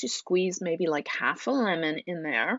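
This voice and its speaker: Her tone is animated, and this woman's voice shows ordinary pitch variation. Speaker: naturopath hosting a live stream. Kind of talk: live stream talk.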